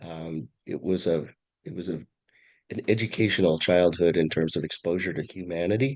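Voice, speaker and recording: A man with a Californian accent speaks in a very deep, low pitch. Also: ordinary pitch variation, moderate pace. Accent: California. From California, San Francisco Bay Area (Oakland). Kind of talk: interview conversation. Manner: halting, frequent self-corrections.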